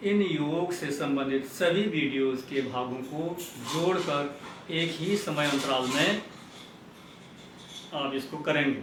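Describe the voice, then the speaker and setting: A fairly high-pitched man with ordinary pitch variation and long, frequent pauses, amid noticeable background noise and audible room echo. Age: 60s. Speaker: yoga video creator. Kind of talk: instructional tutorial. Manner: formal.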